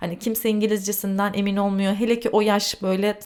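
At a moderate pace, a woman with an unremarkable speaking voice and medium pitch is heard on a very clean recording with a silent background. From Turkey. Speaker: podcast host. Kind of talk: solo storytelling monologue.

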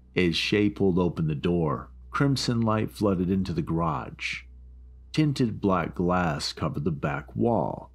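Music plays as a man with a very deep, low pitch speaks at a fairly slow pace, his pitch swinging very widely while his loudness stays very even. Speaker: creepypasta narrator. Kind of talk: scary story narration, first-person horror reading aloud.

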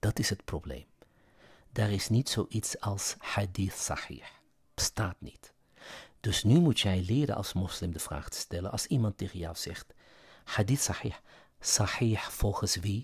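Somewhat breathy and fairly low in pitch, a man speaks with lively intonation. He leaves long, frequent pauses. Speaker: religious commentary YouTuber. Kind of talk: lecture-style monologue. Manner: hesitant with fillers.

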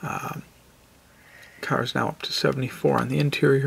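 Soft-spoken and somewhat breathy, a man talks. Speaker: car video creator. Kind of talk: casual tutorial. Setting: indoors, next to sleeping kids. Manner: quiet, soft-spoken; hesitant, many fillers. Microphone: phone near.

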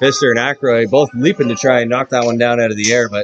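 A man talks at a very fast pace in an animated, upbeat tone, with light background noise. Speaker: hockey play-by-play announcer. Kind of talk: live hockey play-by-play commentary. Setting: arena, broadcasting a game to a stream. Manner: rapid-fire, animated, calling the action as it happens; upbeat, friendly broadcaster tone. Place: stadium.

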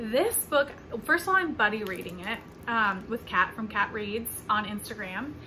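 A woman with an American accent talks at a moderate pace, her fairly high voice rising and falling in a lively way. Noticeable background noise sits behind her. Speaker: book vlogger. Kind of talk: casual vlog.

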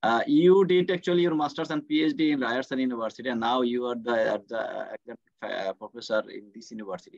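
A man with a Bengali accent at a fairly quick pace, with big swings in loudness, a dry sound with no echo and a quiet background. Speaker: course organizer and host; host. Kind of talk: moderating online session. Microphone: video call.

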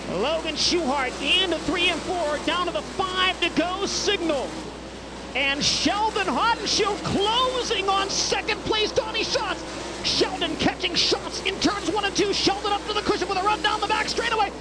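The tone is energetic and upbeat, delivered at a moderate pace. Background noise is noticeable throughout. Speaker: race announcer. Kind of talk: live race call. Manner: energetic, upbeat.

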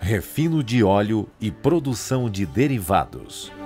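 Music plays behind a man who speaks very slowly at a fairly low pitch, his voice swinging very widely up and down. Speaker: voice actor. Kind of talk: corporate narration. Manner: authoritative, credible.

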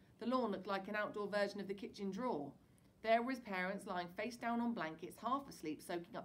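With ordinary pitch variation, the text comes in an unforced reading voice.

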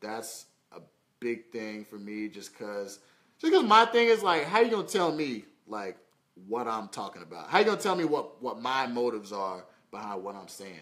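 Against a quiet background, a man speaks at a fairly quick pace with big swings in loudness. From Indianapolis, Indiana (US Midwest). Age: 20s. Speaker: model and social media personality; live streamer. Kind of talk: casual livestream Q&A. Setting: Facebook live stream. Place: home room. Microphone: phone near.

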